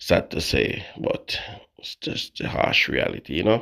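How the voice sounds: Putting on a raspy character voice, a man speaks at a fairly slow pace with big swings in loudness.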